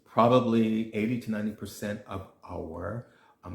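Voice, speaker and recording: Somewhat breathy and fairly low in pitch, a man with an American accent speaks at a moderate pace. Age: 60s. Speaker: nutritionist. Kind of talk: casual vlog talk. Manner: hesitant, many fillers and restarts.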